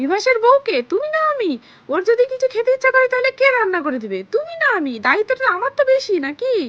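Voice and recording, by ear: Using a put-on character voice, a woman talks fast at extremely high pitch with big pitch swings and a fairly bright tone.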